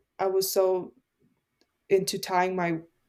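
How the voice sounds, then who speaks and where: A woman with a non-native accent speaks at a medium pitch in a dark, mellow tone. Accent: foreign. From immigrant family, grew up partly in Canada. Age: 20s. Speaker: podcast host, guest. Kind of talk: casual chat.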